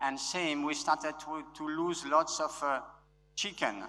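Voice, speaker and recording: With a French accent, a man talks at a fairly slow pace in a fairly high pitch, his intonation fairly even. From France. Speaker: conference speaker. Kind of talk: conference talk. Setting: stage with audience. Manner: loud; halting.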